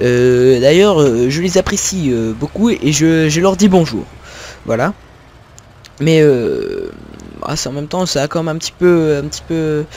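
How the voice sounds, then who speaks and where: Speaking at a fairly slow pace with long, frequent pauses, a man with a fairly high pitch uses ordinary pitch variation. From Picardy, northern France. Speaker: gaming youtuber. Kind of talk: gameplay commentary. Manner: hesitant, many fillers and repetitions.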